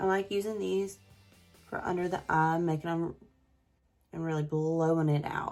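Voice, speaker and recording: With a Southern US accent, a woman talks with ordinary pitch variation while music plays in the background. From south Mississippi. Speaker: beauty YouTuber. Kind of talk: casual makeup review to camera.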